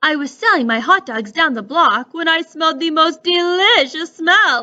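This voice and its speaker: Using a put-on character voice, a woman talks at an extremely high pitch and a moderate pace. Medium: read story.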